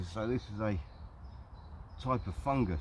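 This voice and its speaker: A man's fairly low voice in a southern English accent, with noticeable background noise. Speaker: hiking vlogger. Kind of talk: casual vlog narration. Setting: outdoors in woodland.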